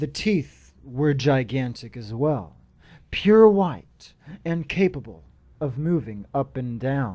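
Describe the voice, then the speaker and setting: Speaking very slowly, the man lets his pitch rise and fall across a very wide range. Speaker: narrator of horror stories. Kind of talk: horror story narration (creepypasta reading).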